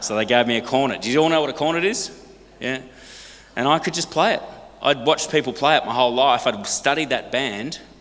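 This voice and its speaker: Talking at a very fast pace, a man with an Australian accent uses an animated tone, a fairly high pitch and ordinary pitch variation. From Australia, partly raised in Hong Kong. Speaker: singer and speaker. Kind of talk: talk to a church congregation. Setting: church.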